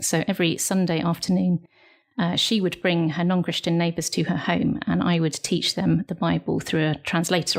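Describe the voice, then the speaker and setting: Her voice is fairly low in pitch, and she speaks in a British accent. The woman keeps a moderate pace and fairly even intonation. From United Kingdom. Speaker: missionary. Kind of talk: interview answer.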